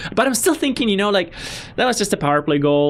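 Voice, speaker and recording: A man's voice moves through very wide pitch swings over noticeable background noise. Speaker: hockey fan commentator. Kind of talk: post-game reaction vlog. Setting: home recording late at night. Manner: animated; repetitive stammering.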